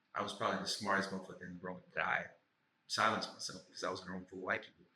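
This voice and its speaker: With an American accent, a man talks at a very fast pace, his fairly low pitch carrying a bright, sharp tone amid audible room echo. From St. Louis, Missouri, US. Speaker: actor and writer. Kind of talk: casual podcast conversation.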